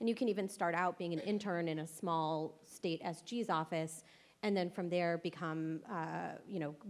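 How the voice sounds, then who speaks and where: A woman with an American accent has an unremarkable speaking voice, fairly low in pitch, with ordinary pitch variation at a moderate pace. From California (Los Angeles). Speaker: lawyer, former state solicitor general, interviewer. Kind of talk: panel interview at a conference. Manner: casual, many fillers and repetitions.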